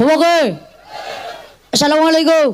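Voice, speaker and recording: A woman is speaking. Her tone is animated. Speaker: Islamic preacher. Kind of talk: sermon. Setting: outdoor gathering with PA system. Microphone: echo on mic.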